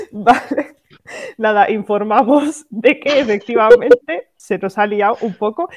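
Speaking at a fairly slow pace, the voice has an animated tone and ordinary pitch variation. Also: woman, fairly high pitch for a woman. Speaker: podcast co-host. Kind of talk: casual chat.

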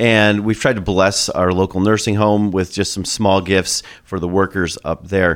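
A man's unremarkable speaking voice at a fairly low pitch and moderate pace, on a very clean recording with a silent background. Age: 30s. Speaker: pastor. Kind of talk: podcast interview.

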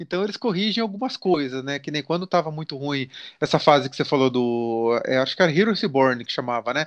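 A man with a normal speaking voice talks fairly quickly against a quiet background. His pitch is fairly high and his intonation lively. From Brazil, countryside (interior). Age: 40s. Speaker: comics YouTuber. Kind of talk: casual interview chat.

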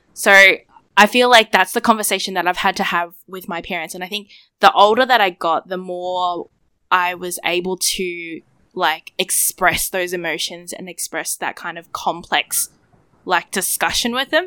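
With an Australian accent, a woman at medium pitch speaks at a moderate pace in a bright, sharp tone, her intonation fairly even and her loudness swinging widely, the sound dry and close with no echo. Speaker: podcast co-host. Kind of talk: casual chat. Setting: video call.

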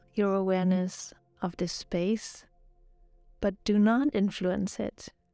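Music plays in the background as a woman speaks at a very slow pace. Her medium-pitched voice has a gentle, soothing tone. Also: dry, close sound with no echo. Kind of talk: guided meditation. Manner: slow, soothing and calm, with long pauses between instructions; soft-spoken and gentle, even in tone.

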